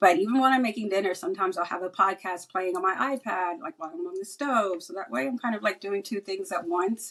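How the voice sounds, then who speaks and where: Lively intonation marks speech delivered at a very fast pace. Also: woman, medium pitch for a woman. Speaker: cybersecurity professional. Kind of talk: podcast interview. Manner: casual.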